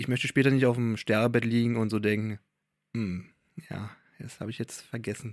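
The man's pitch is medium and his pace moderate. The sound is dry and close with no echo. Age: 30s. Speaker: podcast co-host, outdoor content creator and photographer. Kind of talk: casual chat.

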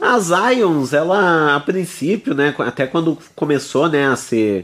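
A man is speaking. His pace is very slow. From Araucária, near Curitiba, Brazil. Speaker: radio show host. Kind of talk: radio presenting and interview. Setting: studio.

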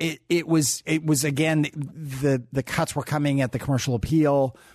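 An ordinary speaking voice from a man with an American accent, fairly high in pitch, at a moderate pace against a quiet background. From US Pacific Northwest (Tacoma, Washington). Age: 50s. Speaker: newspaper publisher. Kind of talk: interview.

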